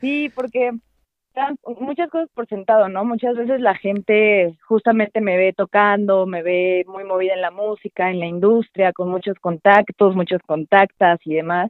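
A woman with an unremarkable speaking voice talks at a fairly slow pace and medium pitch, with ordinary pitch variation. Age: 20s. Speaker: drummer and musician. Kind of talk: casual interview chat. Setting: call.

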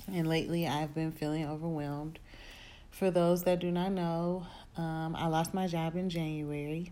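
In a very deep, low voice with a dark, mellow tone, a woman speaks with monotone, flat intonation amid audible room echo. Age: 30s. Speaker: podcaster and wardrobe stylist. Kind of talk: personal monologue. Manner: hesitant, many fillers.

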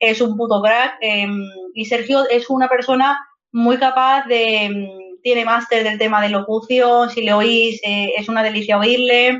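Speaking with a Madrid accent, a woman uses a fairly high voice with monotone, flat intonation at a fairly slow pace. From Madrid, Spain (Vallecas). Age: 30s. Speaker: video game narrative teacher and author. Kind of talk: casual interview chat.

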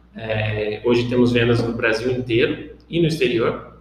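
A man of medium pitch at a fairly slow pace, with audible room echo and noticeable background noise. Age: 20s. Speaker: business founder. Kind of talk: podcast monologue. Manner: casual with filler words.

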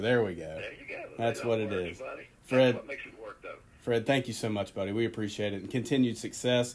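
A man speaks at a medium pitch. Noticeable background noise runs underneath. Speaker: podcast host, school sports. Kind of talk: podcast hosting and interview.

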